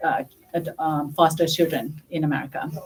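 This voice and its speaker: A woman with a Thai accent speaks at a very deep, low pitch. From northern Thailand. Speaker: school principal candidate. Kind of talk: interview at a community forum. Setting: public community forum. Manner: hesitant, many fillers.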